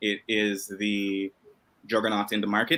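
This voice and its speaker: A man is speaking. His voice sits fairly low. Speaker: game developer. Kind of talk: panel discussion. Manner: quiet. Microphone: too quiet.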